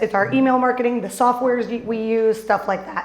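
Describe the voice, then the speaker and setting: Speaking at a fairly quick pace in an American accent, a woman with a high pitch sounds animated, with noticeable background noise and audible room echo. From northern US. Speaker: business coach and speaker. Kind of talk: conference presentation. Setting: stage with audience. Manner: fast.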